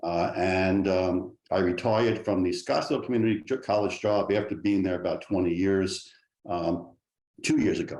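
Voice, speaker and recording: In a New York accent, a man with a fairly low pitch speaks at a moderate pace, his intonation fairly even and his loudness very even. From New York City. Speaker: state legislator, political candidate. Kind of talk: debate opening statement. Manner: halting, many fillers.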